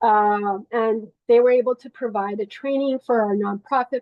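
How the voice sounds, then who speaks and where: Delivered at a moderate pace, this voice carries a Spanish accent and fairly even intonation. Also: woman. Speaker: nonprofit network coordinator. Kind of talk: online meeting update. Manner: halting, many fillers and restarts.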